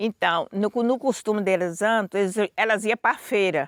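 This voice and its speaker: A woman's unremarkable speaking voice of medium pitch and ordinary pitch variation, in a very clean, dry, close recording with a silent background and no echo. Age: 60s. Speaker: quilombo elder. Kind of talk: testimony.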